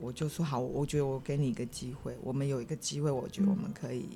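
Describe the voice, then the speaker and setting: This woman's pitch is very deep and low. She speaks at a very fast pace. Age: 60s. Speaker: wife sharing marriage story. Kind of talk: casual interview chat.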